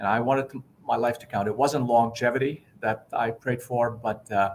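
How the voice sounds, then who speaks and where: In a flat monotone, a man delivers his words at a moderate pace. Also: medium pitch for a man. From southern Lebanon. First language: Arabic. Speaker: pastor and education nonprofit leader. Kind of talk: interview testimony.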